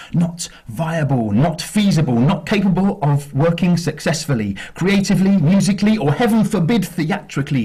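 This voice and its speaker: Moderate pace and lively intonation over noticeable background noise. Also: man. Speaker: spoken word poet. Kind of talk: spoken word poetry performance. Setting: live acoustic night.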